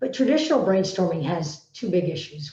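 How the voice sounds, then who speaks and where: With a dark, mellow tone, a woman speaks in a somewhat breathy voice. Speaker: teacher and coach. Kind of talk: solo vlog talk. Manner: hesitant, with fillers.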